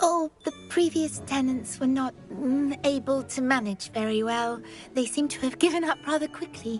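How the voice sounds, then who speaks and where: A female-sounding put-on character voice, pitched high for a woman, moves at a moderate pace over clear music in the background. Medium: video game. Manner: speaks in third person, eager, rambling.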